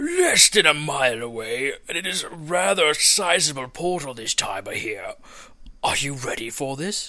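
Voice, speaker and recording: Using a put-on character voice, a man talks at a moderate pace with fairly high pitch. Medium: read story. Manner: formal.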